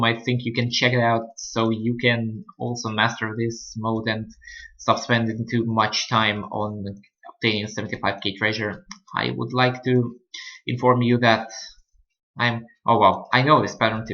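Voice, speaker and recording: A non-native accent is heard in the speech. It proceeds at a moderate pace. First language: not English. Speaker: gaming channel host. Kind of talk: gameplay commentary. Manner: halting.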